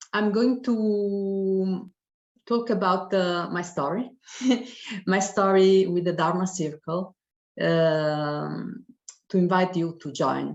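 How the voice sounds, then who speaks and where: Very slowly, a woman of medium pitch speaks in an Italian accent with fairly even intonation. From Italy. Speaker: professor. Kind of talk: testimony. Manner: halting.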